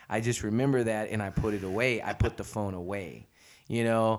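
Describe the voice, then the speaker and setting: On a very clean recording with a silent background, a man speaks at medium pitch. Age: 40s. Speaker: podcast host. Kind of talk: casual interview chat. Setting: studio. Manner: animated.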